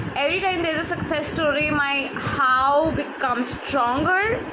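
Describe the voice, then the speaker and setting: Over noticeable background noise and audible room echo, a woman speaks in a raised, projected voice. Her pitch is high and her intonation lively. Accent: Bengali. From India. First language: Bengali. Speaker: life coach. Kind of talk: live online talk. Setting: livestream from phone. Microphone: phone mic.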